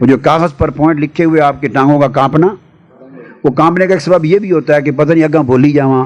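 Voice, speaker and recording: Fairly high-pitched for a man, his voice holds a very even loudness over noticeable background noise. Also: fairly even intonation. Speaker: religious scholar and public orator giving speaking advice to young people. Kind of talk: instructional talk to an audience on public speaking. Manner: commanding, fatherly, emphatic, at times indignant.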